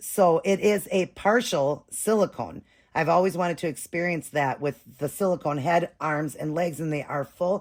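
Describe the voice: Using a put-on character voice, a woman sounds raspy and hoarse at a fairly low pitch and a moderate pace.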